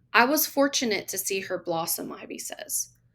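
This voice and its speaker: A woman at a moderate pace in a Southern US accent, on a very clean recording with a silent background. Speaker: teacher. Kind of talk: audiobook story reading.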